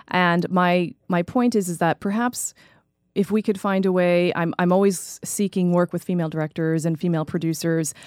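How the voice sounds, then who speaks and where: A woman with a normal speaking voice and an American accent, fairly low in pitch, at a moderate pace with fairly even intonation, on a very clean, dry, close recording with a silent background and no echo. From New York and New Jersey. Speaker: playwright and educator. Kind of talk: interview.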